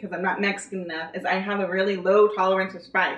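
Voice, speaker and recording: This is a woman with a Californian accent. Her voice sits at a medium pitch. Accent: Californian American English. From California, Gilroy. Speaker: video co-host. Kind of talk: casual chat. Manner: casual, filler-heavy.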